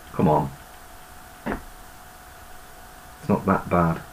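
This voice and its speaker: Speaking fairly slowly, a man is heard over noticeable background noise. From Birmingham, West Midlands, England. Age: 50s. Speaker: YouTuber and amateur musician. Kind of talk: casual video monologue. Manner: rambling, hesitant with many ums.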